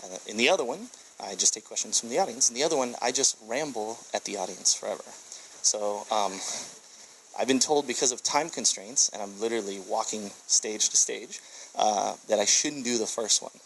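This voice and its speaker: Over noticeable background noise, a man with an American accent talks at a fairly quick pace and medium pitch, with ordinary pitch variation. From USA. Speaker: tech entrepreneur and speaker. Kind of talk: conference presentation. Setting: stage with audience. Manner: fast.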